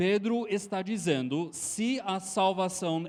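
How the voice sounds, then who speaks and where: He speaks at a very slow pace with an American accent. This man has a high pitch and ordinary pitch variation. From Texas. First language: English (speaking Portuguese). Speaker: preacher. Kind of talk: sermon.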